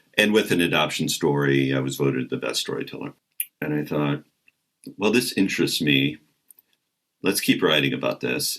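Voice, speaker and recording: A booming man's voice, very deep and low, with vocal fry and a Midwestern American accent at a moderate pace. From American Midwest. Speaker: comedian and voice actor. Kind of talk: interview answer.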